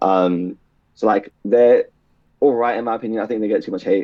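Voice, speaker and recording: The voice has a dark, mellow tone and a British accent. The pace is fairly quick. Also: man. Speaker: podcast guest. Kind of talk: casual chat. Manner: fast; slurred words.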